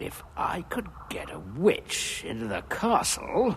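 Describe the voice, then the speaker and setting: A cartoonish character voice from a man, fairly slow in pace, over clear background noise. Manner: musing, self-assured.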